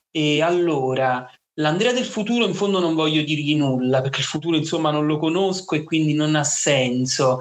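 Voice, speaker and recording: Talking in an unremarkable speaking voice, this man has a fairly high pitch and ordinary pitch variation. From Naples, Italy. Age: 20s. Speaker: teacher, rare disease patient. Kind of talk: interview, personal testimony.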